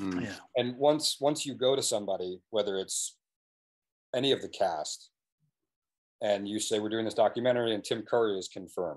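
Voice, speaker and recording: A man with an American accent speaks at a fairly quick pace, with ordinary pitch variation. Long, frequent pauses break up his speech over a quiet background. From New England, US. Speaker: documentary filmmaker; guest. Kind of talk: casual interview. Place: home room. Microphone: video call.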